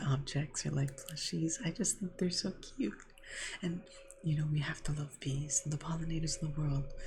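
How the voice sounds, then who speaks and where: Soft-spoken delivery at a moderate pace. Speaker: ASMR creator. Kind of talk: ASMR softly spoken gameplay commentary.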